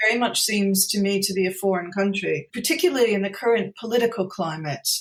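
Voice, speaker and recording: Very fast speech in an American accent comes through noticeable background noise. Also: woman, medium pitch for a woman, ordinary pitch variation. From US, New Jersey. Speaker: poet. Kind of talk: interview.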